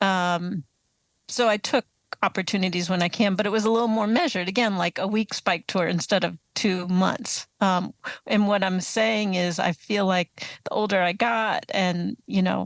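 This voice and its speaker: A woman with an American accent in a plain, everyday voice, ordinary pitch variation, moderate pace and very even loudness, dry and close with no echo, on a very clean recording with a silent background. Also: medium pitch for a woman. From US East Coast (Atlanta, Baltimore, Boston). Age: 60s. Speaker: author and touring cyclist. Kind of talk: interview.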